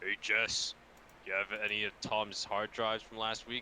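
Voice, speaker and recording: A man puts on a gruff character voice at a medium pitch, speaking at a moderate pace with monotone, flat intonation. Background noise is clearly audible. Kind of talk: comic overacting. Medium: read story. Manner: gruff, wrestler-style bluster.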